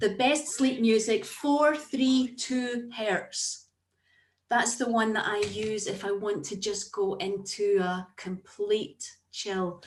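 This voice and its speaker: Speaking at a very slow pace, a woman with a fairly high, somewhat breathy voice shows ordinary pitch variation. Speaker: therapist, former teacher. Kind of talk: Q&A at online talk.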